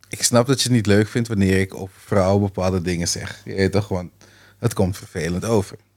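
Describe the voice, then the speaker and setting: In a very clean recording with a silent background, a man talks at a fairly quick pace in a normal speaking voice, fairly low-pitched with fairly even intonation. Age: 30s. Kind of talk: casual chat.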